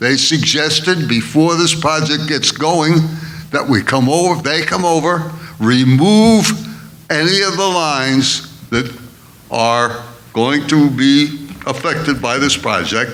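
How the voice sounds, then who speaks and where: Amid noticeable background noise and audible room echo, a man with a fairly high voice and ordinary pitch variation speaks at a very slow pace. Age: 80s+. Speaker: elderly resident speaking at public comment. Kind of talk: public comment at a board meeting.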